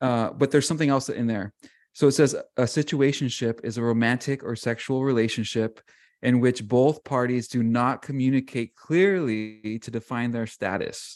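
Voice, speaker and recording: A man with an ordinary speaking voice talks at a moderate pace and medium pitch with ordinary pitch variation against a quiet background. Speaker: podcast co-host. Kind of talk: casual chat.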